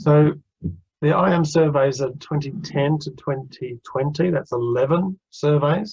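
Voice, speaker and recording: Speaking with a slight Australian accent at a fairly slow pace, a man has a fairly high, somewhat breathy voice with ordinary pitch variation. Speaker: interim finance director. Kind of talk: webinar presentation.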